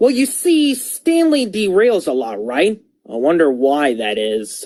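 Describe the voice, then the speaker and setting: In a cartoonish character voice, a female-sounding voice at middle pitch speaks fairly slowly. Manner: chatty, insinuating.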